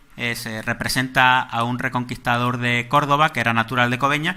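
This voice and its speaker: With a Málaga accent, a man talks fairly quickly at a medium pitch, his tone bright and sharp and his intonation fairly even. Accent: Málaga (Andalusian). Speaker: lecturer on local history. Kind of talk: lecture. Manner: halting, with frequent repetitions.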